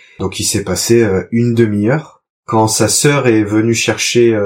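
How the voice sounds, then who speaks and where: On a very clean recording with a silent background, a man with an unremarkable speaking voice talks at a fairly slow pace in a fairly low pitch. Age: 30s. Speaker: father, trainee market gardener. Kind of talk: testimony.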